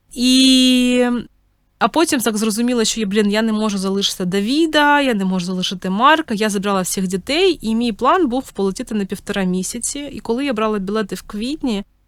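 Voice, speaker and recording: A woman with a normal speaking voice talks at a fairly quick pace, her fairly high pitch carrying a lively intonation. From Ukraine. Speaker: podcast host, mother of three. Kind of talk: personal storytelling monologue. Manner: casual, with many filler words.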